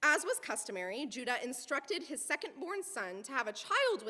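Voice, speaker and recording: The speaker uses a raised, projected voice with very wide pitch swings. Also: woman. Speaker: guest preacher. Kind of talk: sermon. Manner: fast; humorous storytelling.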